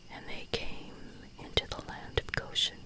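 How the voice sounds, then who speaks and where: Whispering in a soothing tone, the voice comes through noticeable background noise. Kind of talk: whispered Bible reading for sleep or devotions. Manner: whispered, soothing.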